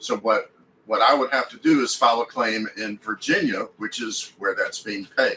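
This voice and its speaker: A man with a Texan accent at a moderate pace. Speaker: RV lifestyle YouTuber. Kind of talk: livestream Q&A. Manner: casual, hesitant with repetitions.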